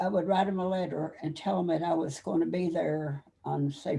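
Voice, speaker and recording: A woman speaks with a Kentucky accent. Her pace is moderate. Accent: Southern US (Kentucky). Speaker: army veteran. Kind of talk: interview. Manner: halting.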